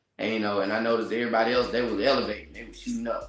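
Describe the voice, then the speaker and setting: In a room with audible echo, a man speaks at a very fast pace. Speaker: army veteran, gun influencer. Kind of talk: interview. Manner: casual.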